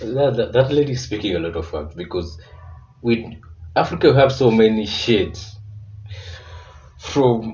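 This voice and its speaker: Music plays in the background as a man talks. He has a Kenyan accent and a moderate pace. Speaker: reaction video creator. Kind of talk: reaction commentary.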